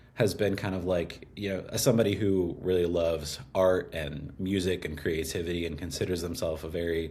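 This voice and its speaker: Audible room echo surrounds a man with a very deep, low pitch and a dark, mellow tone. He speaks somewhat breathily at a fairly quick pace, with fairly even intonation and hardly any pauses. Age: 20s. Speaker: copywriter and musician. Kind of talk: casual interview conversation. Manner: many fillers, hesitant.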